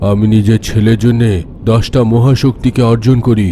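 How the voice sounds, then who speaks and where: A man's cartoonish character voice with a solemn tone, medium pitch, fairly even intonation and a fairly slow pace over clear background noise. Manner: solemn, measured.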